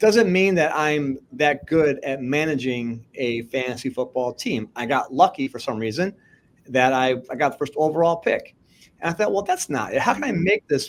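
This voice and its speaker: In a very clean recording with a silent background, a man with a normal speaking voice talks at a moderate pace, his fairly high pitch showing lively intonation. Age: 50s. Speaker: podcast host and fantasy league creator. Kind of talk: casual interview chat.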